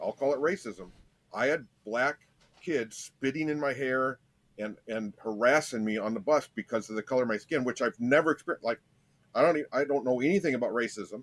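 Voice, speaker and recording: This man has a Michigan accent and a medium-pitched voice, talking at a fairly quick pace. The sound is dry and close, with no echo. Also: ordinary pitch variation. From US Midwest, Michigan and Ohio, raised partly in Las Vegas. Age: 50s. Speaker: podcast guest sharing life story. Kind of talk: personal testimony in interview. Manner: halting, frequent repetitions.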